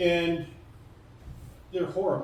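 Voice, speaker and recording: Audible echo from the room hangs on the man's speech. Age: 70s. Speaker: retired teacher and woodlot owner. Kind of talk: public information session talk. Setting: community hall with audience.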